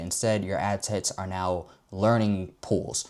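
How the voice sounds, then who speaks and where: A very clean recording with a silent background captures a man talking. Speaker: marketing agency founder, online ad educator. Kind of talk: tutorial. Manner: casual, fillers and self-repeats.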